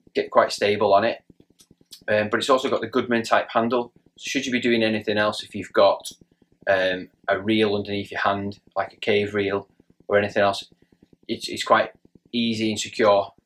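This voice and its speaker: Monotone, flat intonation at a moderate pace, broken by long, frequent pauses. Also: man, fairly low pitch for a man. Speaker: presenter. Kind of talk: tutorial. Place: shop.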